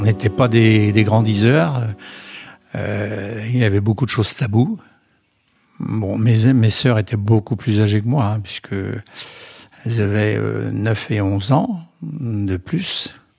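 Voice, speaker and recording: A man with a fairly low pitch and a somewhat breathy voice talks at a very slow pace, with long, frequent pauses and ordinary pitch variation. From Brittany, France. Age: 80s+. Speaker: retired grandfather. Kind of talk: testimony. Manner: halting.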